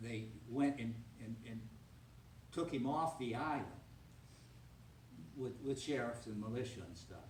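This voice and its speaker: A man with a medium pitch talks at a moderate pace. Audible room echo and noticeable background noise surround him. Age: 70s. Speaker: retiree, descendant of town founder. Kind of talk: talk with audience Q&A. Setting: public reception with audience.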